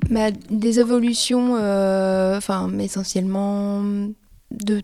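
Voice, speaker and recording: In a dark, mellow tone at medium pitch, a woman speaks very slowly with monotone, flat intonation. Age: 40s. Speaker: project leader. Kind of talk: interview testimony.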